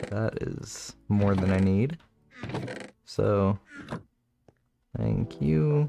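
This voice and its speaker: With music in the background, a man of fairly low pitch speaks very slowly, pausing long and often. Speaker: Minecraft streamer. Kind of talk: casual livestream gameplay commentary. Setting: livestream. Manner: flat, low-energy.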